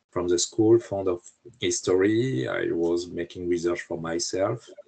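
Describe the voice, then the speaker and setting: At a moderate pace, a man speaks with a French accent. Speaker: historian and author. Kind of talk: interview. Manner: halting, many hesitations.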